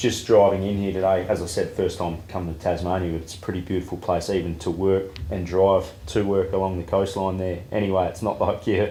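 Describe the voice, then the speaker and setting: With an Australian accent, a man speaks at a fairly quick pace in a very deep, low pitch, his dark, mellow tone somewhat breathy and his intonation monotone and flat, with audible room echo around him. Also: hardly any pauses. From Western Australia. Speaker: interviewer. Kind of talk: interview.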